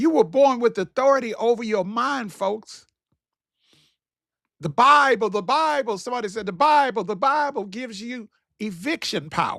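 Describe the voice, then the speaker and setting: A man with a Southern US accent speaks at an extremely high pitch, with an animated, bright, sharp tone and lively intonation. His pace is moderate, and the recording is very clean with a silent background. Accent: country, Southern US. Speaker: motivational/faith talk show host. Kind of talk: motivational talk, sermon-like. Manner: animated, preachy.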